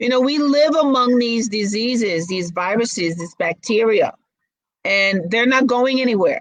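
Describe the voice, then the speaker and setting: At a moderate pace, a woman with an American accent and an ordinary speaking voice talks in a fairly high pitch with lively intonation. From Brooklyn, New York. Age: 60s. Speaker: model and actress. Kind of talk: interview.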